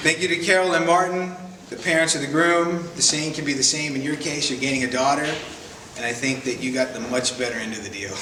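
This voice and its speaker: Talking very fast, a man with an American accent has a fairly high pitch and ordinary pitch variation. Audible room echo and noticeable background noise surround his voice. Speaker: best man. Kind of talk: wedding speech. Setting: wedding reception in a barn, with audience. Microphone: no microphone.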